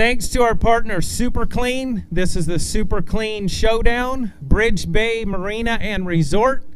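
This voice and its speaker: A man speaks fairly slowly in a high voice with ordinary pitch variation, against noticeable background noise. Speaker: tournament emcee. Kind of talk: event announcement. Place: stage.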